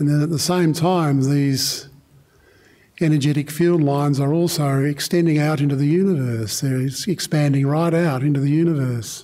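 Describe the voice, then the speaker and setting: The speaker has an Australian accent and a dark, mellow tone, talking at a moderate pace with fairly even intonation and very even loudness against a quiet background. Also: man, fairly high pitch for a man. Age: 70s. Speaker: meditation teacher. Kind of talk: guided meditation. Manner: halting. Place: hall. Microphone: studio mic.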